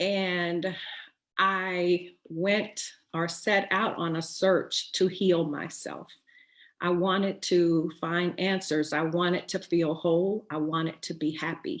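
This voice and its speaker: A woman speaks very slowly at a fairly low pitch. Her intonation is monotone and flat. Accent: American. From Texas. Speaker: writer and poet, webinar host. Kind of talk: inspirational webinar talk. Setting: online webinar. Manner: hesitant, many fillers.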